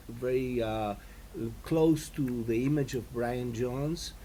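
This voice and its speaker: Delivered at a fairly slow pace, the speech carries audible room echo. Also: man. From Latin America. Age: 60s. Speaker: composer and guitarist. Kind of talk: interview. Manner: halting, many fillers.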